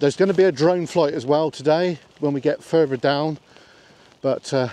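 Dry, with no echo, the speech moves at a moderate pace with ordinary pitch variation. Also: man. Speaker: vlogger. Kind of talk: casual vlog chat. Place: open country. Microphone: phone near.

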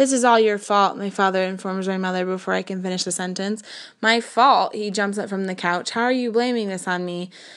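The speaker reads in an unforced reading voice.

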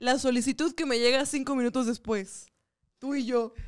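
On a very clean recording with a silent background, a woman with a high pitch and an animated tone speaks at a fairly slow pace with ordinary pitch variation. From northern Mexico. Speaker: comedian and podcast co-host. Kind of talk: casual chat. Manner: animated, frequent laughter.

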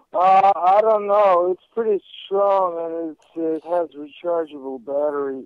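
Putting on a character voice, a man mumbles at a fairly slow pace with a high pitch and ordinary pitch variation. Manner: low, mumbling, sleepy.

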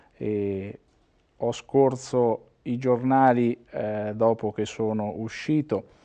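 Against a quiet background, a man with medium pitch speaks in a dark, mellow tone with monotone, flat intonation. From Umbria, Italy. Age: 50s. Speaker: former mayor and regional politician; former mayor, regional politician. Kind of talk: interview. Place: studio. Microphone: lapel.

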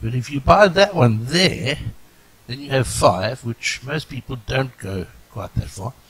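The voice shows very wide pitch swings and big swings in loudness. Its pace is fairly slow. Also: man, medium pitch for a man. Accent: South African. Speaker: game tutorial narrator. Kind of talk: casual game tutorial narration.

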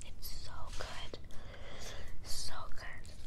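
Someone whispers over noticeable background noise. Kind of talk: casual talk to camera, eating ASMR. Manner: whispered, soft-spoken.

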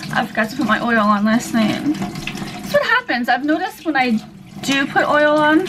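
A woman's lively intonation at a moderate pace, under noticeable background noise. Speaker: vlogger. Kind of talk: casual vlog talk to camera. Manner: relaxed, chatty.

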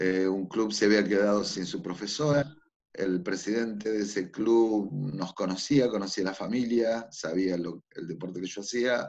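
Over a quiet background, a man speaks at a fairly slow pace. His voice is fairly low, with ordinary pitch variation. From Buenos Aires, Argentina; Argentina. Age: 50s. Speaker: figure skating coach. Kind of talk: interview. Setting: remote call. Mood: calm, reflective. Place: home room. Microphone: video call.

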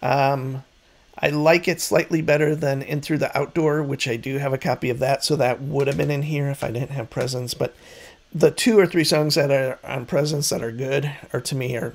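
This man's voice sits fairly high in pitch, with ordinary variation. He talks at a moderate pace. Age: 50s. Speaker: music YouTuber. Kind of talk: casual monologue. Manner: hesitant, many fillers. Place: home room. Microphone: studio mic.

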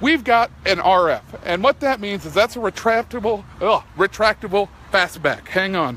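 An animated, upbeat man talks at a moderate pace in a high voice with a bright, sharp tone. The sound is dry with no echo, with light background noise. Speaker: car salesman. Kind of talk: dealership sales pitch, live Facebook video walkaround. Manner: animated, chatty, pushy upbeat pitchman; self-deprecating, jokey, rambling. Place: street. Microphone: phone near.

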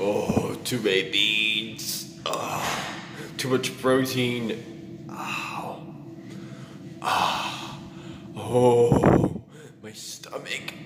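A man with a fairly low pitch and a fairly bright tone speaks very slowly with fairly even intonation, and room echo is audible.

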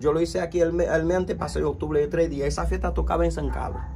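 Here a man is speaking. Light background noise can be heard. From Haiti. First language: Haitian Creole (speaking Spanish). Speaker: vodou priest. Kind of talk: interview. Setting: his spiritual center, at night. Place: home room. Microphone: phone near.

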